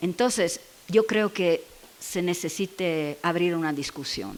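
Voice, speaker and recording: This woman has an Italian accent. She talks very slowly. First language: Italian (speaking Spanish). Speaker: education researcher. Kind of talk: Q&A after a seminar talk. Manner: halting, searching for words.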